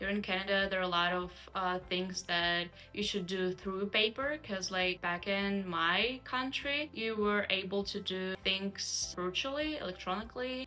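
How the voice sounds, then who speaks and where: Over music in the background, a woman of medium pitch speaks at a moderate pace with ordinary pitch variation and hardly any pauses. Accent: Russian. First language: Russian. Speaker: immigrant student interviewee. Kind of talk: interview answers.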